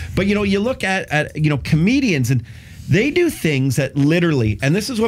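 A man in an animated tone, somewhat breathy, at a fairly quick pace with very wide pitch swings. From Canada. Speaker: radio host. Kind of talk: casual chat. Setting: radio studio. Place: studio. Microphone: studio mic.

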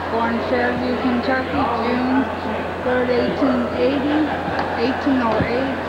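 A woman at a fairly slow pace over loud background noise. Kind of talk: tour narration reading plaques. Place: hall. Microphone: old recording.

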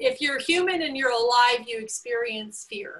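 A woman's bright, sharp voice with ordinary pitch variation. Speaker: webinar host. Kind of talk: host introduction. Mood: warm, upbeat. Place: home room. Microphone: video call.

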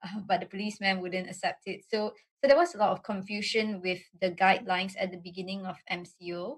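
A somewhat breathy woman's voice at a fairly quick pace, with fairly even intonation over a quiet background. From Malaysia. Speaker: state assemblywoman; panelist. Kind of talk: webinar presentation; panel discussion. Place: home room. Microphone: video call.

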